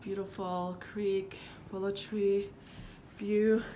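A woman's medium-pitched voice, monotone and flat in intonation, at a very slow pace. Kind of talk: casual home tour talk to camera. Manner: casual, hesitant.

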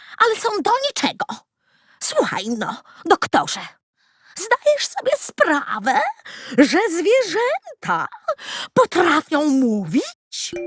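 Using a put-on character voice, a woman speaks at an extremely high pitch with very wide pitch swings and long, frequent pauses. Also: fairly slow pace. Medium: read story. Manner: bossy, self-assured.

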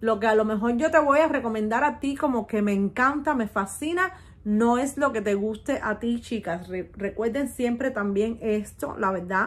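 At a moderate pace, a woman speaks in a fairly high voice with an animated tone and ordinary pitch variation. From Cuba. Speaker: beauty youtuber, perfume reviewer. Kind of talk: product review vlog. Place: home room. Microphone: phone near.

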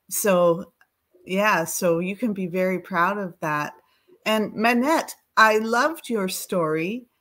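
A woman with a Canadian accent speaks at a very slow pace against a quiet background. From Canada. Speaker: children's charity advisor. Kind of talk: encouraging feedback. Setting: video call. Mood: warm, encouraging. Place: home room.

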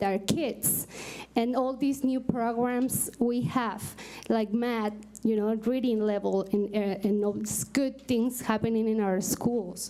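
A woman with a Mexican accent, her fairly high voice dark and mellow in tone, at a very slow pace with fairly even intonation. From Mexico. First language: Spanish. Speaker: parent advisory committee co-chair; parent giving public comment. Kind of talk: public address at a meeting. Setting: school board meeting. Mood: grateful, slightly nervous. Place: hall. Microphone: podium.

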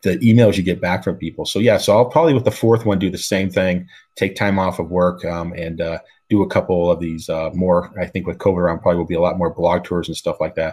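The speaker talks fast with little pitch movement, a slightly mellow tone, and a slightly husky edge. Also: man, low pitch for a man.

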